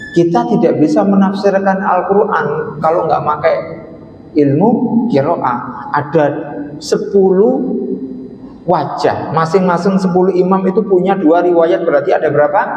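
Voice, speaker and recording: A man with an East Javanese accent, high in pitch with ordinary pitch variation and very even loudness, at a moderate pace, amid noticeable background noise and audible room echo. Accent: Lamongan Javanese. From East Java, Lamongan. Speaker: Islamic scholar, lecturer. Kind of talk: religious lecture. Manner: casual, conversational.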